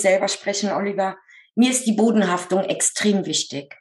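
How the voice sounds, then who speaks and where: A somewhat breathy woman at a moderate pace, with ordinary pitch variation. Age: 50s. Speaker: medium who draws portraits of the dead. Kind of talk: interview.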